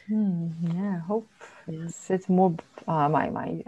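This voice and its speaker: A woman is speaking. Her pace is fairly slow. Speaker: human design analyst. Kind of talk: casual interview conversation. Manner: gentle; halting, searching for words.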